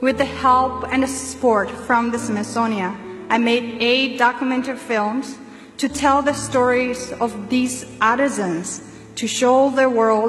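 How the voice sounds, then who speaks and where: A woman speaks very slowly in a high voice, her intonation fairly even. Noticeable background noise and audible room echo fill the recording. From Tibet. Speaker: graduating student speaker. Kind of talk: commencement speech.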